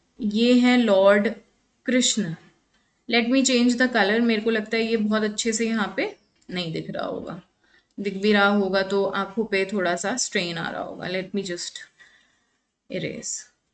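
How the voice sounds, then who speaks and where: A woman with a fairly high voice and fairly even intonation speaks with long, frequent pauses. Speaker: psychology exam lecturer. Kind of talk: online lecture. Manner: Hindi-English code-mixing.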